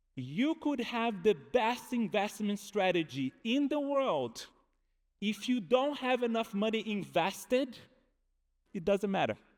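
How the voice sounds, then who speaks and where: This speaker has a Brazilian accent, talking at a fairly slow pace with lively intonation. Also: man, high pitch for a man. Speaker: behavioral economist. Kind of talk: conference talk.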